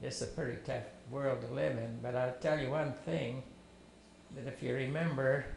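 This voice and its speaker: A man speaks fairly slowly, with audible room echo and noticeable background noise around him. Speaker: family elder telling life story. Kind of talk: testimony.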